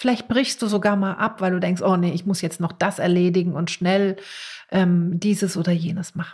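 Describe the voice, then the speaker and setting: A woman's medium-pitched voice is somewhat breathy, her intonation fairly even. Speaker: podcast host and meditation teacher. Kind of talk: guided meditation. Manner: slow, calm, soothing; gentle, with long pauses.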